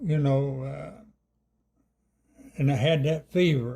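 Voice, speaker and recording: Speaking very slowly in an Appalachian accent, a man with a fairly high pitch uses a dark, mellow, somewhat breathy tone and ordinary pitch variation. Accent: Appalachian Southern US. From Claiborne County, East Tennessee. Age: 80s+. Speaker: elderly rural interviewee. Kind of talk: oral history interview. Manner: halting.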